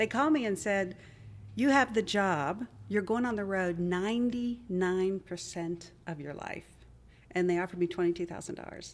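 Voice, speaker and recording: Over a very clean recording with a silent background, a woman with an American accent uses an ordinary speaking voice at medium pitch, with ordinary pitch variation, a moderate pace and big swings in loudness. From US, West Virginia (Wheeling). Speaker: nonprofit leader and tech startup CEO. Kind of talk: interview conversation.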